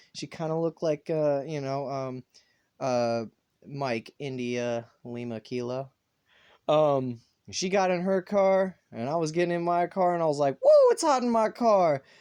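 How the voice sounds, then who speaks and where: A man with a slight Southern US accent, a dark, mellow tone and lively intonation, at a fairly slow pace, in a dry, close sound with no echo over a quiet background. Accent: little Southern. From US South, North Carolina. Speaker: vlogger. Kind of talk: casual monologue.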